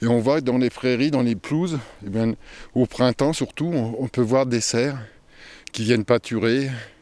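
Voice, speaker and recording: A man at medium pitch, fairly slow and fairly even in intonation, with long, frequent pauses, on a very clean recording with a silent background. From Paris region, Oise. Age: 60s. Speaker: retired forester. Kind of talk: interview. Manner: halting, repeats words.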